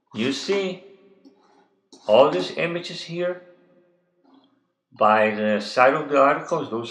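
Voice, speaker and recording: A man's pitch swings very widely, with audible echo from the room. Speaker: web designer. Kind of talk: tutorial. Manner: hesitant, with fillers.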